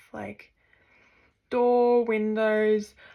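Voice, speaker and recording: A woman's medium-pitched voice with an Australian accent, at a very slow pace. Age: 20s. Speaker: vlogger and university student. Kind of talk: casual vlog introduction. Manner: hesitant, frequent fillers.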